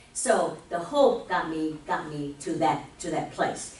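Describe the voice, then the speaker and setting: There is noticeable background noise in this clip. A woman talks in a fairly low pitch. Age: 60s. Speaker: spiritual speaker. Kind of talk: sermon.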